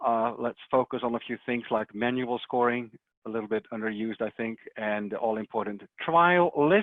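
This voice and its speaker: A man speaks with a Dutch accent at a moderate pace. His pitch is medium, with ordinary pitch variation. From Netherlands. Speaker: software technical support specialist. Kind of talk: webinar presentation. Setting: online webinar. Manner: hesitant, many fillers.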